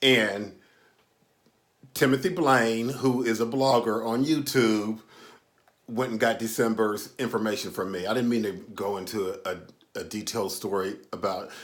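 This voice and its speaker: Amid audible room echo, a man speaks at medium pitch and a moderate pace, with ordinary pitch variation and long, frequent pauses. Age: 60s. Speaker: YouTube commentator and author. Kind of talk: casual storytelling monologue. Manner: halting, many fillers.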